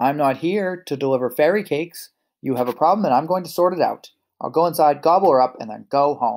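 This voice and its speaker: In a put-on character voice, a man bellows in a raised, projected, gruff voice at a fairly high pitch and a very fast pace, on a very clean recording with a silent background. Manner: roaring, loud and gruff.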